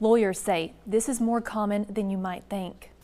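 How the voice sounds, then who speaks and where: With an ordinary speaking voice and ordinary pitch variation, a woman talks at a moderate pace on a very clean recording with a silent background. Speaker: TV news reporter and anchor. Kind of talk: TV news anchor read.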